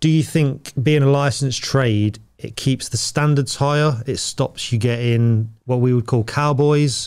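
Man with a British accent and fairly even intonation, on a very clean recording with a silent background. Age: 40s. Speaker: podcast host, tradesman. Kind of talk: casual interview.

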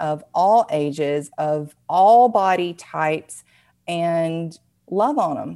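A woman with a Southern US accent, a dark, mellow tone, fairly low pitch and ordinary pitch variation. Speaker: dance fitness business owner, former nurse. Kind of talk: casual interview chat.

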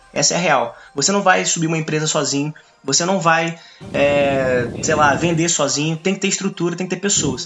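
Amid noticeable background noise, a man talks at a very fast pace in a high pitch. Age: 20s. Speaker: young entrepreneur and economics student. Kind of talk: casual podcast chat.

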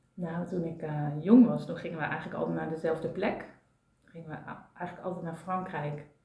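A woman of fairly low pitch at a fairly quick pace, her intonation fairly even and her loudness swinging widely, with audible room echo and noticeable background noise. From Brabant, Netherlands. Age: 40s. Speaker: systemic coach and therapist. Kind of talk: casual chat. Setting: at a kitchen table.

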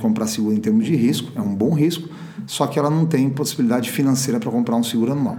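A man talks with ordinary pitch variation, and both audible room echo and noticeable background noise come through. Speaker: insurance company CEO. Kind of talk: interview. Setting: podcast recording. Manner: hesitant, with filler words.

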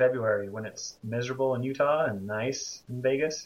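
Here is a man with an ordinary speaking voice. His pitch sits at a medium level with ordinary variation. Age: 30s. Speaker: podcast guest. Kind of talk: casual chat. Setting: video call.

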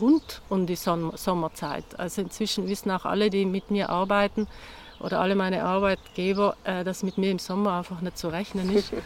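A woman keeps a moderate pace, her intonation monotone and flat. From South Tyrol, Italy (Bassa Atesina). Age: 50s. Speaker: herbalist and self-sufficiency gardener. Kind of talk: interview conversation. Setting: outdoors in a garden.

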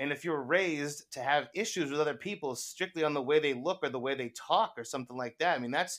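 This man's voice has a bright, sharp tone. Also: very clean recording, silent background. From US. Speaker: guest. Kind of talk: casual chat.

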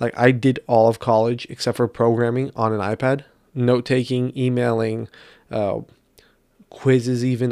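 Monotone, flat delivery at a fairly quick pace on a very clean recording against a silent background. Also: man. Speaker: solo podcaster. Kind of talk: casual monologue. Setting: recording at night on an iPad.

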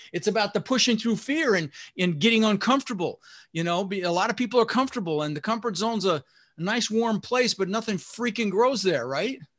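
A man's high-pitched, fairly quick speech with lively intonation on a very clean recording with a silent background. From US, Denver, Colorado (immigrated from the Netherlands at six). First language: Dutch. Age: 60s. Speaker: real estate investor and podcast host. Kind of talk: interview. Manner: casual, animated.

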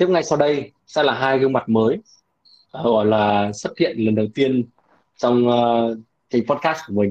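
In a plain, everyday voice, a man holds a medium pitch and lets it vary in an ordinary way. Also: fairly slow pace. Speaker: podcast host. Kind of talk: casual chat.

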